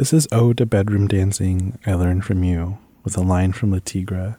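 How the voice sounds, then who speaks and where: A man with an American accent speaks at a moderate pace in a fairly low, somewhat breathy voice. His tone is dark and mellow. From San Diego, California. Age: 30s. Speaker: poet. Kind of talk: poetry reading.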